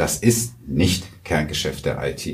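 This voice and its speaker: Vocal fry and ordinary pitch variation from a man, with audible room echo. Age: 40s. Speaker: IT company sales director. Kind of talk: interview. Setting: studio. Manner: many hesitation fillers.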